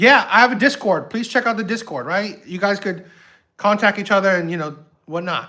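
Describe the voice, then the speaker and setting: A man's raised, projected voice, high-pitched with a bright, sharp tone and an American accent, at a fairly quick pace with ordinary pitch variation. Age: 60s. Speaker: YouTube reaction streamer. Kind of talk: casual livestream chat. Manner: halting, many fillers and repetitions.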